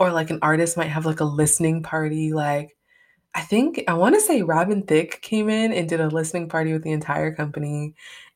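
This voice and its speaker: On a very clean recording with a silent background, a woman with an American accent speaks fairly quickly at a very deep, low pitch, with fairly even intonation. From upstate New York. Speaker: podcast host. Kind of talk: solo podcast monologue. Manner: casual, filler-heavy; occasionally stumbling.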